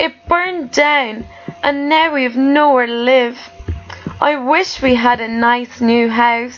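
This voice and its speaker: A woman puts on a squeaky, high-pitched character voice and speaks at a fairly slow pace, with clear music in the background. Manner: sad, worried.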